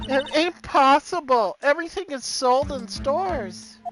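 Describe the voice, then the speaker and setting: In a put-on character voice, a female-sounding voice with a high pitch speaks at a moderate pace as music plays in the background. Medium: game stream. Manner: girlish, giggly, faux-innocent.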